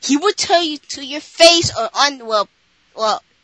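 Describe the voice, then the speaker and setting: A woman projects a raised voice in a high pitch with a bright, sharp tone and very wide pitch swings. She speaks at a fairly slow pace, and the sound is dry and close with no echo. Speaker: podcast co-host. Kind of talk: casual chat.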